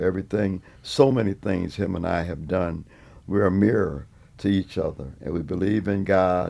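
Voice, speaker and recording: Very deep and low, this man's voice has a dark, mellow tone. He keeps a moderate pace with ordinary pitch variation. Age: 70s. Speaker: veteran funk musician. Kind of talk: interview.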